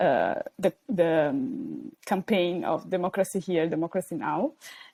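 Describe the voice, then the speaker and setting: At a fairly slow pace, a woman with an Italian accent speaks at a medium pitch with very wide pitch swings. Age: 20s. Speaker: PhD student, youth organisation co-founder. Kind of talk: podcast interview. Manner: hesitant, many fillers.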